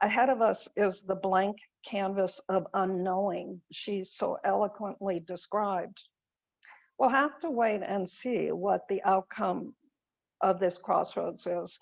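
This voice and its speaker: Against a quiet background, a woman with an American accent and vocal fry speaks at a fairly slow pace and medium pitch with ordinary pitch variation. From California. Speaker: lay worship leader. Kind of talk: personal reflection in a worship service. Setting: video call.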